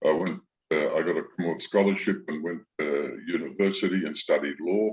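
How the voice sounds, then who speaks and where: Moderate-paced speech from a man with an Australian accent. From Australia, Sydney. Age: 70s. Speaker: retired lawyer and author. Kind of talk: interview. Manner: halting, many fillers.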